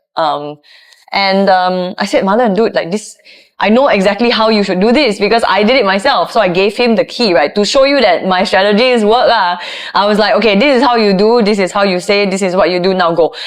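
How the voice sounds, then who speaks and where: Over noticeable background noise, a woman speaks fairly quickly at medium pitch, with ordinary pitch variation and very even loudness. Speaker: voiceover artist and content creator. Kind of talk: casual chat. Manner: animated.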